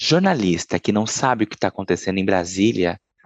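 The dry, close recording with no echo captures a man whose pitch swings very widely. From Brazil, southern Minas Gerais. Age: 30s. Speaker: journalist. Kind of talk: interview.

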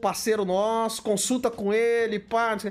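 A man speaks with a Brazilian accent in a high pitch. The recording is very clean, with a silent background. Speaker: bodybuilding livestream host. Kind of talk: casual live chat reading superchats. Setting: livestream. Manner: animated.

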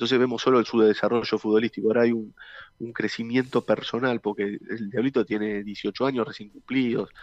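Against a quiet background, a man talks at a medium pitch in a monotone, flat intonation, the sound dry and close with no echo. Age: 40s. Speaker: former footballer. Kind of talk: interview. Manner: halting, many repeated words.

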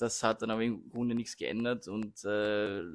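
A man's voice at medium pitch. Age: 20s. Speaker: law student. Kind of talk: casual chat. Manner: halting.

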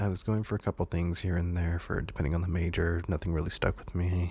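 A man speaks at a moderate pace with a very deep, low pitch. His voice is somewhat breathy. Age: 20s. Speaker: podcast host. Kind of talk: casual monologue. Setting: home recording with condenser mic. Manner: hesitant with many fillers.

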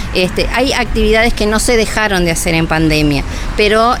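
A woman speaks at a moderate pace with medium pitch and ordinary pitch variation. Noticeable background noise and audible room echo are present. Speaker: nursing home staff member. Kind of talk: radio interview. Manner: hesitant, many fillers.

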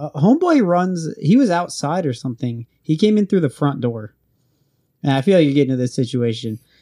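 In an American accent, a man with a fairly high pitch, a dark, mellow tone and lively intonation speaks over a quiet background. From Oregon, US. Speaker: guest, Navy sailor. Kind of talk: casual chat.

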